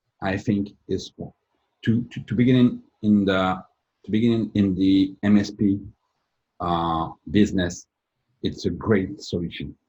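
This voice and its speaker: A man with a French accent and a dark, mellow tone speaks at a fairly slow pace and fairly low pitch, with fairly even intonation and long, frequent pauses. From France. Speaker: company president, IT service provider. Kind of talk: interview. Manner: halting.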